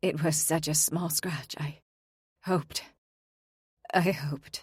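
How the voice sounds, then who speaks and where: In a put-on character voice, a woman speaks quietly and at a fairly slow pace, her raspy, very deep, low pitch held in a monotone, flat intonation. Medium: read story. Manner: quiet, simple.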